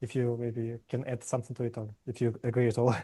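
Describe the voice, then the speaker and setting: Dry and close with no echo, the recording catches a man's dark, mellow tone as he talks at a fairly quick pace. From Ukraine. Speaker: podcast host, interviewer. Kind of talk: interview. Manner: halting, many fillers and repeated words; stutters on word starts.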